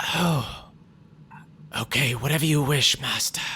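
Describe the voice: In a put-on character voice, the speaker uses a raspy, low-to-middle pitch and a fairly slow pace.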